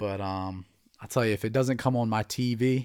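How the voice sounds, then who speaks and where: A plain, everyday voice from a man with an American accent, fairly low in pitch, moderate in pace, with ordinary pitch variation. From New Jersey. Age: 20s. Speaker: MMA podcast host. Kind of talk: casual solo commentary.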